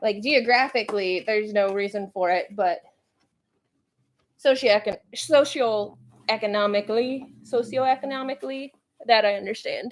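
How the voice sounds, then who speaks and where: A woman's animated tone, fairly slow pace and ordinary pitch variation. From Central Virginia, US South. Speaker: pet YouTuber. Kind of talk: livestream chat.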